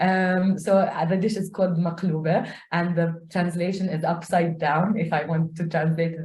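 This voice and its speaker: Somewhat breathy and dark, mellow in tone, a woman speaks at a fairly low pitch with monotone, flat intonation. Audible room echo surrounds her voice. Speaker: community learning coordinator. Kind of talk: self-introduction in online meeting.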